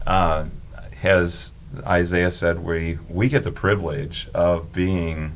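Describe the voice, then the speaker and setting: Audible room echo surrounds a man whose very deep, low voice moves at a very slow pace with ordinary pitch variation. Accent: American. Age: 60s. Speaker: youth ministry volunteer and former teacher. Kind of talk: casual chat.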